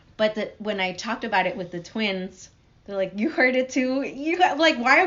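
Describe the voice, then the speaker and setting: A woman's fairly quick speech features very wide pitch swings. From Guatemala. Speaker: podcast guest. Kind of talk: interview answer.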